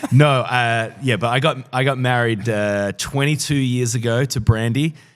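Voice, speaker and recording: With an Australian accent, a man speaks at a moderate pace and a medium pitch. His intonation is fairly even, and the recording is very clean with a silent background. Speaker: pastor and author. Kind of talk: interview conversation.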